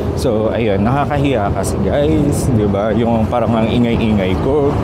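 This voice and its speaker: A man with a medium pitch talks at a fairly slow pace, with ordinary pitch variation and very even loudness. The recording has audible room echo and noticeable background noise. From Philippines. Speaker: travel vlogger. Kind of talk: travel vlog. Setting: outdoors, airport. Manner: lowered voice.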